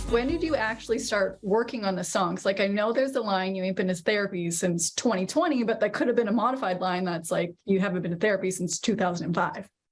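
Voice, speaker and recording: At a very fast pace with hardly any pauses, a woman speaks in a slight Canadian accent, sounding somewhat breathy. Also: medium pitch for a woman, ordinary pitch variation. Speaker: entertainment reporter. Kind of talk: news report.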